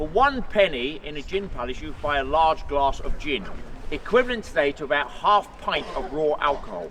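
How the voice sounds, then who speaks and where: A man with an English accent and a fairly high voice speaks at a moderate pace with lively intonation over noticeable background noise. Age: 40s. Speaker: tour guide, ceremonial guard, army veteran. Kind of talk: guided tour talk to a crowd. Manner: animated.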